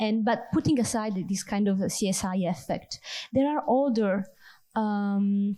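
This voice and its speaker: In an Italian accent, a woman speaks fairly slowly at medium pitch, somewhat breathy with a dark, mellow tone, on a very clean recording with a silent background. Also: ordinary pitch variation, very even loudness. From Italy. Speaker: audience member asking a question. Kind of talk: conference Q&A question. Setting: conference round table with audience.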